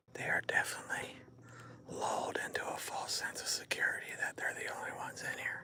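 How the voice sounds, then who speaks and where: A man is whispering at a fairly quick pace. Noticeable background noise is present. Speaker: livestreamer on a nature walk. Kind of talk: casual live stream chat. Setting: outdoors in the woods. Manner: hushed, quiet.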